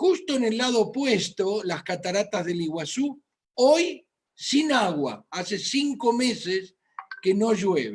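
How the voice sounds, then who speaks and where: Very slow speech with an Argentine accent. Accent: Argentine Spanish (Rioplatense). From Argentina, Buenos Aires. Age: 60s. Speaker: physician. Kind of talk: medical lecture.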